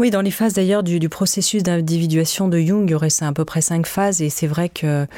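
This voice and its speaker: A woman's fairly low-pitched voice at a fairly quick pace, with fairly even intonation. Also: very even loudness. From France. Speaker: podcast creator and author. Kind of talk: in-depth interview. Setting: studio. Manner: halting, frequent repetitions.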